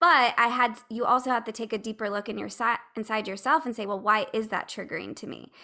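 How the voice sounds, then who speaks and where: A woman with a fairly high, bright and sharp voice talks very fast, her loudness swinging widely and vocal fry showing through. Her pitch varies in an ordinary way, and the recording is very clean with a silent background. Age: 30s. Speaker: podcaster and patient. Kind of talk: casual chat.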